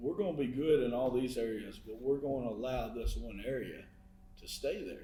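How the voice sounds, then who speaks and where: Audible room echo surrounds a man whose dark, mellow tone carries vocal fry. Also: medium pitch for a man, ordinary pitch variation, moderate pace. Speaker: podcast co-host. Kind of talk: casual chat. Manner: words run together.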